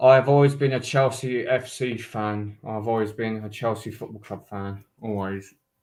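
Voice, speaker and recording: Speaking with a London accent at a medium pitch, a man keeps his intonation fairly even and hardly pauses at all. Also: moderate pace, big swings in loudness. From London, England. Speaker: fellow streamer. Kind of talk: casual live stream chat. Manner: halting, stammering.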